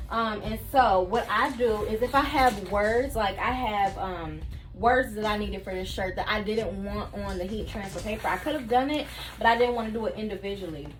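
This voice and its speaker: A woman's voice carries audible room echo. Noticeable background noise runs underneath. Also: ordinary pitch variation. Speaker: craft tutorial creator, small business owner. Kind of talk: tutorial. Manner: fast; casual, chatty.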